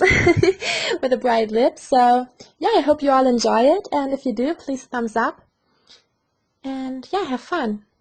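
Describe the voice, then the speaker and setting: A woman is speaking with a German accent. Her pitch is high. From Germany. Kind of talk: makeup tutorial talk to camera.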